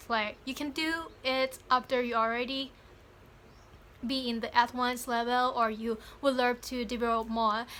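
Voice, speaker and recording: A woman with a Thai accent speaks at a high pitch in a bright, sharp tone. Her intonation is monotone and flat, and her pace is moderate. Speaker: YouTuber, English learner. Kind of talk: motivational vlog. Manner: halting.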